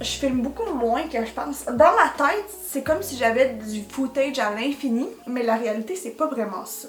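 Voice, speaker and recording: A woman's high-pitched voice, full of lively intonation, plays out against music in the background. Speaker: vlogger. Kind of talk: casual vlog talk. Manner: fast.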